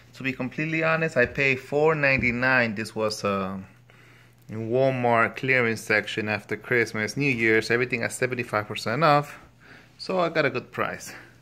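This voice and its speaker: A man with a Spanish accent talks at a medium pitch in a bright, sharp tone. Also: ordinary pitch variation, moderate pace. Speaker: product reviewer, father. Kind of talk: casual product review.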